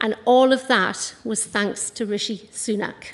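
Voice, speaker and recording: Speaking at a fairly slow pace, a woman with a North East England accent has a fairly high pitch. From North East England, County Durham. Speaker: small business owner and local councillor. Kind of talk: campaign speech. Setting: stage with audience. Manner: animated.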